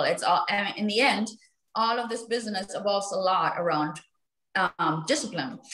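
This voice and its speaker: A woman at a moderate pace, with audible room echo. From Germany. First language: German. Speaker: real estate agent; guest. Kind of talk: panel discussion. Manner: halting. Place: home room. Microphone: video call.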